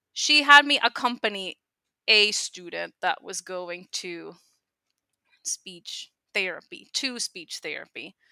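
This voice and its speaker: A woman with a Spanish accent, very slow with long, frequent pauses, a bright, sharp tone and very wide pitch swings, in a very clean, dry, close recording with no echo and a silent background. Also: medium pitch for a woman, big swings in loudness. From Puerto Rico. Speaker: speech language pathologist. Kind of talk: interview conversation.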